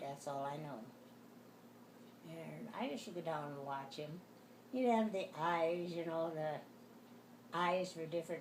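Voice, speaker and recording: Speaking with an American accent at a fairly slow pace, a woman with a very deep, low pitch is heard amid audible room echo. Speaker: elderly mother interviewed. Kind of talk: casual family interview. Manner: halting.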